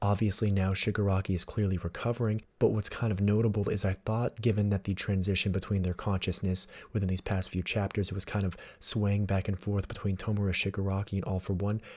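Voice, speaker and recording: A man speaks at a very fast pace in a fairly low, somewhat breathy voice with monotone, flat intonation. His loudness stays very even in a very clean recording with a silent background. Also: hardly any pauses. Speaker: manga analysis YouTuber. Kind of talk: casual talk to camera. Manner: quiet.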